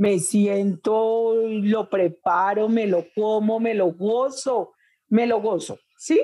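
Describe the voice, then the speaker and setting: A woman's fairly high-pitched voice, dark and mellow in tone, at a very slow pace against a quiet background. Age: 60s. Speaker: urban farmer and chef. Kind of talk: interview. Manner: animated.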